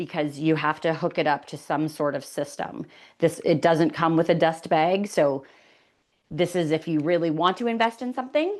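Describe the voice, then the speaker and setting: In a Canadian accent, a woman speaks at a moderate pace and a fairly low pitch with ordinary pitch variation against a quiet background. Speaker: furniture refinisher and educator. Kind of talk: webinar tutorial. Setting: online webinar.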